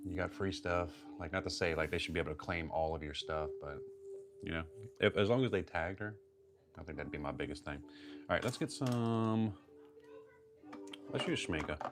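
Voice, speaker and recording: Over music in the background, a man speaks quietly in a very deep, low pitch, with a relaxed tone, lively intonation and long, frequent pauses. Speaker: watercolor artist streaming live. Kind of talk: casual live-stream chat while painting. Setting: live stream at home. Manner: talking quietly; relaxed, conversational.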